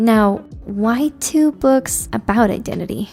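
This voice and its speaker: Over music in the background, a woman talks at a fairly high pitch with ordinary pitch variation. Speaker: book reviewer. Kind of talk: book analysis video narration.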